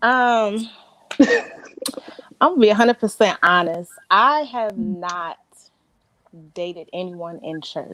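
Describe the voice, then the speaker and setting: The voice moves at a very slow pace with lively intonation. Its loudness swings widely. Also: woman, fairly high pitch for a woman. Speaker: panel guest on faith talk show. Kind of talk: casual chat.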